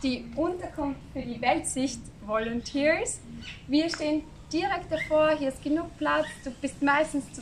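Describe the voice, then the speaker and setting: Light background noise can be heard. The speaking pace is fairly slow. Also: woman. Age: 20s. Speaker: volunteer teacher; volunteer guide. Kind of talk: video diary. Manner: casual, with hesitations. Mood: friendly, cheerful.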